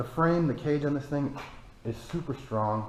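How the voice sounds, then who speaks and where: At a moderate pace, a man speaks with ordinary pitch variation and audible room echo. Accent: American. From Michigan, US. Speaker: off-road vehicle YouTuber. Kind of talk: casual vehicle review. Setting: cold barn.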